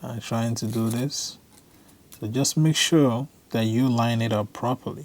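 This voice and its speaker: Very slow pace from a man with an African accent and ordinary pitch variation, on a very clean recording with a silent background. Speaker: tech video creator. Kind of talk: tutorial. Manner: casual.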